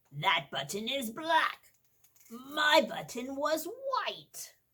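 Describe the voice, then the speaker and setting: In a put-on character voice, a woman speaks at a very slow pace with a high pitch and a grumpy tone. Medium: read story. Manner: grumpy, fussy.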